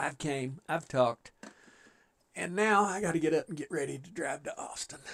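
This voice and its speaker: A man with an ordinary speaking voice talks at a moderate pace, his fairly high pitch moving with ordinary variation while his loudness swings widely. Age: 60s. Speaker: gaming livestreamer. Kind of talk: casual livestream chat. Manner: relaxed, folksy.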